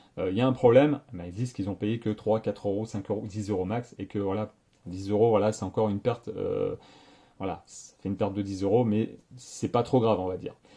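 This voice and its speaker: Somewhat breathy and fairly low-pitched, a man speaks at a fairly quick pace with fairly even intonation and big swings in loudness. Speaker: tech YouTuber. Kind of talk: casual vlog monologue. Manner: fast; hesitant, many fillers.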